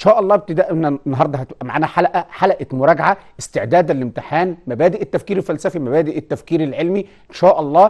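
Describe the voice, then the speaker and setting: A man speaks at a very fast pace with ordinary pitch variation. The background is quiet. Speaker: teacher presenting a TV lesson. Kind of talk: lecture. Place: studio. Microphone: lapel.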